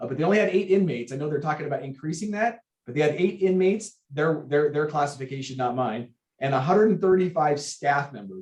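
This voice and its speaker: With lively intonation and a fairly high pitch, a man talks fairly quickly in a somewhat breathy voice. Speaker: sheriff's station captain. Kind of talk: public meeting report. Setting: remote video meeting. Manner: fast.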